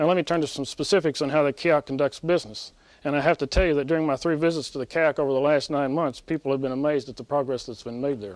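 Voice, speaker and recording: A man talks at a very fast pace in a fairly high pitch, his intonation fairly even. The sound is dry with no echo against a quiet background. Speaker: military officer. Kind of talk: press briefing. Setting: press briefing room. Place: hall. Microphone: podium.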